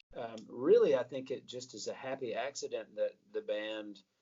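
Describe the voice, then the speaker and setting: A fairly slow-paced man's voice in a Southern US accent. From US South, Atlanta, Georgia. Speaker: rock singer and guitarist. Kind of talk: interview.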